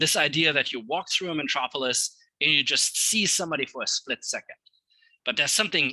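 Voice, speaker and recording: The tone is bright and sharp, with lively intonation at a fairly quick pace. The sound is dry and close, with no echo. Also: man. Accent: German. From Germany. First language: German. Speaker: literature scholar. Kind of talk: lecture. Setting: talk with live audience. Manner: hesitant with fillers.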